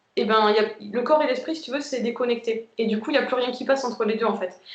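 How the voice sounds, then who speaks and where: A woman is speaking. Her pitch is high. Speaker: twin flame group member sharing experience. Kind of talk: casual group chat on a live video. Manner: fast; hesitant, many fillers.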